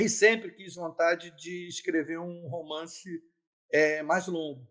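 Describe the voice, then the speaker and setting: Speaking at a very slow pace, a man with a high voice keeps his intonation fairly even while his loudness swings widely. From Brazil, Niterói (Rio de Janeiro state). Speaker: lawyer and debut novelist. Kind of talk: interview.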